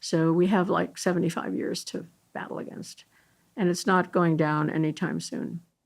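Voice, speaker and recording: At a moderate pace, a woman with a fairly low pitch and ordinary pitch variation speaks with vocal fry. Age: 80s+. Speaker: environmental medicine scientist. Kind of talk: interview conversation. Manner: halting.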